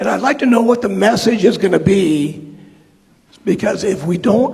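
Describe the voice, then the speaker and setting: The man's voice sits high, with ordinary pitch variation. Audible room echo and noticeable background noise surround it. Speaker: constituent asking a question. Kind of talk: town hall question. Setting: high school town hall with audience.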